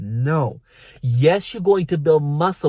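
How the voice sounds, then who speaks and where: A man with a non-native accent, somewhat breathy, at a fairly slow pace with lively intonation, on a very clean recording with a silent background. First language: not English. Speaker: fitness coach. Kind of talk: vlog tutorial.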